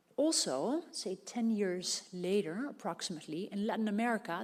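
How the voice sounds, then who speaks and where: A somewhat breathy woman's voice at medium pitch, with lively intonation. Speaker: criminologist and psychologist, academic researcher. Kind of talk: conference talk. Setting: conference room with audience. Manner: fast when excited.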